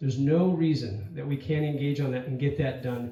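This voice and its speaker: There is audible room echo as a man speaks. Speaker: congressional candidate. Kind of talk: candidate forum answer. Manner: fast.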